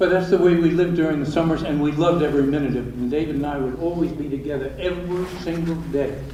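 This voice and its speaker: Talking fairly quickly at a fairly high pitch, a man keeps his intonation fairly even despite noticeable background noise and audible room echo. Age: 80s+. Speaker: eulogist, brother of the deceased. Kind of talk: eulogy. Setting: church memorial service. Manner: casual, conversational. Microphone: poor pocket voice recorder.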